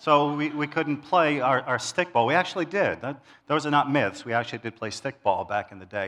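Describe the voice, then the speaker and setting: Someone speaks at a moderate pace with an American accent and lively intonation. The background is quiet. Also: man. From New York City, Queens. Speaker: church elder, lay preacher. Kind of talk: sermon. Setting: church service with congregation.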